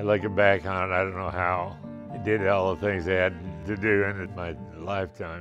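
With clear music in the background, a man with a Midwestern accent speaks at a very deep, low pitch and a moderate pace in a monotone, flat intonation. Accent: American Midwest. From Wichita, Kansas. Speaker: retired airline pilot. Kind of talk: interview answer. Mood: warm, cheerful storytelling.

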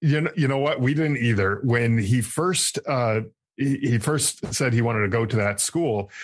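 In an American accent, a man speaks at a moderate pace and medium pitch, somewhat breathy, with very even loudness and ordinary pitch variation. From Connecticut. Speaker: army veteran, podcast host and author. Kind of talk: interview, personal testimony. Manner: halting, many fillers and repeated words.

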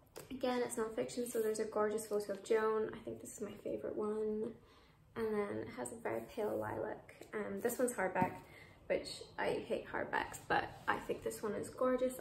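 Noticeable background noise runs through the clip. A woman talks at a fairly quick pace. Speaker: book vlogger. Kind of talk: casual vlog chat. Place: home room. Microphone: phone near.

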